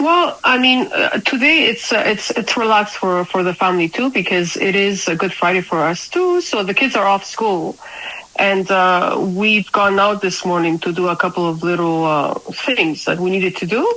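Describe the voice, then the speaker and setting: Over noticeable background noise, a woman with a slight non-native accent speaks at a moderate pace and medium pitch, with ordinary pitch variation and very even loudness. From Spain. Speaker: crypto community leader. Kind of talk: casual interview chat. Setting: at home. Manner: halting.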